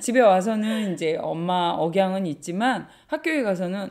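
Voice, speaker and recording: Against a silent background in a very clean recording, a woman speaks. Her pitch is medium and her pace moderate. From Korea, Gangwon province. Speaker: bookshop owner. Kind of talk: interview.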